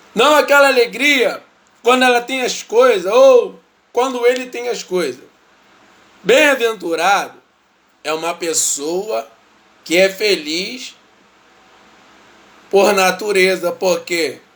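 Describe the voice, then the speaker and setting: A man talks at a very slow pace, with long, frequent pauses. His high-pitched voice has lively intonation. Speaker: lay preacher. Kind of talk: bible study livestream.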